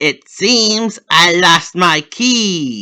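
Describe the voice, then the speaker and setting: Putting on a character voice, a man speaks at a high pitch with lively intonation and a playful tone. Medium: read story. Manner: playful, mischievous.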